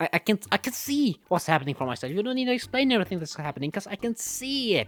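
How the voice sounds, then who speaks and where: Music sits behind a man speaking at a fairly quick pace. His high pitch moves in very wide swings. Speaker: movie reviewer. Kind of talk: casual movie review commentary.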